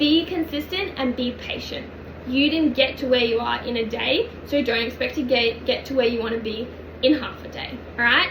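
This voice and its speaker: Amid noticeable background noise and audible room echo, a woman talks at a moderate pace in a high pitch with ordinary pitch variation. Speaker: personal trainer and nutrition coach. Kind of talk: online coaching lesson.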